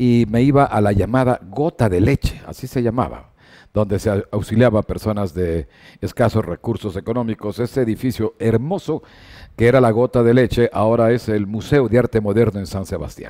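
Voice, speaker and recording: A man with a dark, mellow tone at a moderate pace, ordinary pitch variation, quiet background. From Ecuador. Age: 70s. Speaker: sports broadcaster; sports journalist guest. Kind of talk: interview. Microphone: headset.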